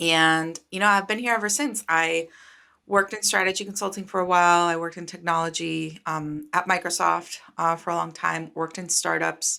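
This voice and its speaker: The voice carries a Spanish accent, a bright, sharp tone and fairly even intonation. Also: woman, fairly low pitch for a woman, moderate pace. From Costa Rica. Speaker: startup founder and venture capitalist. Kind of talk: interview. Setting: video call.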